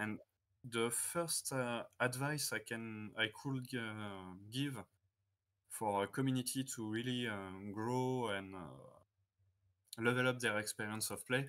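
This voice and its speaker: A man with a French accent talks at a fairly slow pace and medium pitch, keeping his intonation fairly even. The recording is very clean, with a silent background. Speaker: tournament judge. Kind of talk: interview. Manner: halting, many filler sounds.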